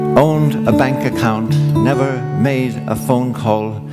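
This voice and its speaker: The speech goes at a very slow pace. Loud background noise is present. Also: man. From Ireland. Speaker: storyteller. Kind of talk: live stage storytelling with guitar accompaniment. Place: stage. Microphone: headset.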